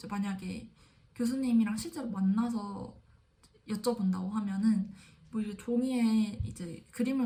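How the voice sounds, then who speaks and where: A woman speaks at a fairly high pitch with a dark, mellow tone and a somewhat breathy quality. Her intonation stays fairly even. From South Korea. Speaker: graduate student vlogger. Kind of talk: casual vlog monologue.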